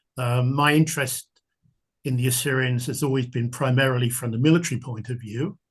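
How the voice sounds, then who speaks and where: Speaking with a southern English accent, a man at medium pitch sounds somewhat breathy, his intonation fairly even against a quiet background. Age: 70s. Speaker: military history author. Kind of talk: podcast interview.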